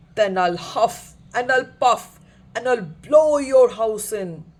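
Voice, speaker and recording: A put-on character voice growls at a fairly high pitch and a fairly slow pace. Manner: growling.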